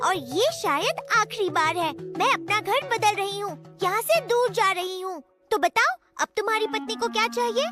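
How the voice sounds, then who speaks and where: This cartoonish character voice sits at an extremely high pitch and talks at a moderate pace, with faint music in the background. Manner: calm, measured.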